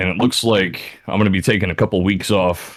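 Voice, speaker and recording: On a very clean recording with a silent background, a man's booming, very deep, low voice moves at a moderate pace with fairly even intonation. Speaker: podcast guest. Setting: boom mic.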